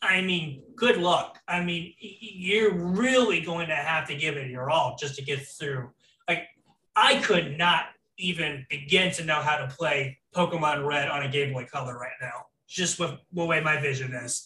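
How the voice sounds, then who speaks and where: With an American accent, a man speaks at a fairly slow pace in a fairly high pitch and a bright, sharp tone. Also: ordinary pitch variation. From Florida. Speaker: podcast host. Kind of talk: casual chat.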